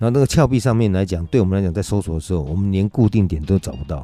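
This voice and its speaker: Over music in the background, a man talks at a very fast pace with a very deep, low pitch and ordinary pitch variation. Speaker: mountain rescue team leader. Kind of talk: interview.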